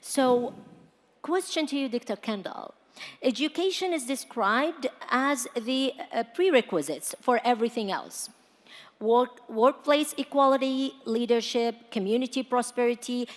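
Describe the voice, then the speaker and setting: A woman with an American accent at a high pitch, a fairly slow pace and ordinary pitch variation. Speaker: panel moderator. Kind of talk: panel moderation.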